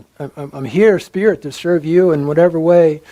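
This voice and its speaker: There is noticeable background noise behind this man. He speaks at a moderate pace with ordinary pitch variation. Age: 70s. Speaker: psychologist and psychedelic speaker. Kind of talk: lecture Q&A answer. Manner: halting, many repetitions.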